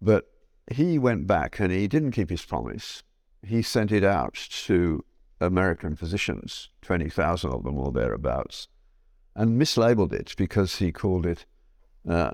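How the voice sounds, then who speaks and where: Very deep and low, a man's voice carries vocal fry and very wide pitch swings at a fairly slow pace with long, frequent pauses. The recording is very clean, with a silent background. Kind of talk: conference talk to students. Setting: stage with audience. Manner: conversational, humorous.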